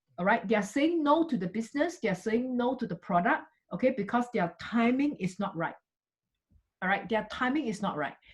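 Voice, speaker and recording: A woman with a somewhat breathy voice and lively intonation talks fairly quickly. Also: fairly high pitch for a woman. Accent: Singaporean. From Singapore. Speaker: network marketing business leader. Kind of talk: motivational talk. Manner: animated.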